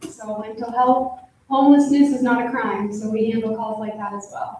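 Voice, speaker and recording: With an American accent, a woman speaks at a moderate pace in a fairly high pitch, her intonation fairly even and her voice carrying audible room echo. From US Midwest, Iowa. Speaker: social worker, panelist. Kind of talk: panel self-introduction.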